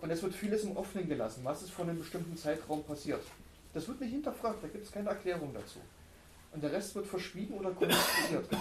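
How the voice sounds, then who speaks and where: With audible room echo and noticeable background noise, a man talks at a very fast pace and a high pitch, his intonation lively. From former East Germany. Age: 30s. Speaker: book discussion co-host. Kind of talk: panel discussion.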